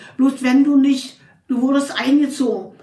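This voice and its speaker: A woman talks at a fairly slow pace in a high pitch. Audible room echo surrounds her voice. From Berlin (Charlottenburg). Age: 80s+. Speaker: interviewee telling her life story. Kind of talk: personal life story interview. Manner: halting.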